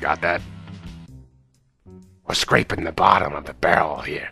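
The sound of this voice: A raspy, put-on character voice from a man at a moderate pace, with faint music in the background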